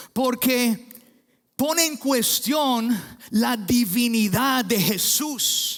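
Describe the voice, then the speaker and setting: This man has an English accent and an extremely high pitch. His pitch moves with ordinary variation. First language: English (speaking Spanish). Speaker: pastor. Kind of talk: sermon. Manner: halting with fillers.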